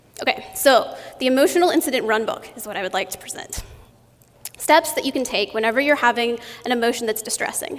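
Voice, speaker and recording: A woman speaks at a very fast pace in a high pitch. Noticeable background noise sits behind her voice. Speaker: conference speaker. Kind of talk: conference talk.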